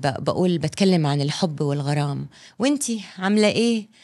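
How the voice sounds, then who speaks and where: The woman's pitch is medium and her tone animated. She talks at a fairly slow pace with lively intonation. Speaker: film director. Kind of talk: casual interview chat.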